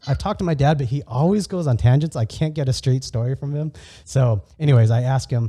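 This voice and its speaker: A man with a Californian accent speaks at a very fast pace, somewhat breathy. His pitch sits in the middle range with ordinary variation, and his tone is dark and mellow. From California, US. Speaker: podcast host. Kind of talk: casual conversational interview. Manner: halting, many false starts and repeats.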